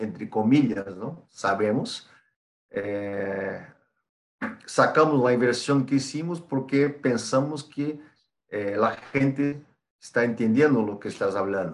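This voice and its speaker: Very slow in pace, a man speaks with a Brazilian accent. His pitch is medium, with ordinary variation. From Brazil, São Paulo. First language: Portuguese (speaking Spanish). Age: 40s. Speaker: export supervisor, Spanish learner. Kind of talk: interview.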